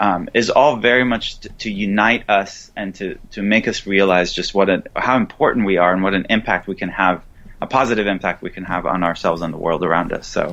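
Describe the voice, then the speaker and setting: Hardly pausing, a man with an Israeli accent talks at a fairly quick pace, using a fairly low pitch and ordinary pitch variation. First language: Hebrew. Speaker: author and Buddhist teacher. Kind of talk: interview. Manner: hesitant, with fillers and restarts.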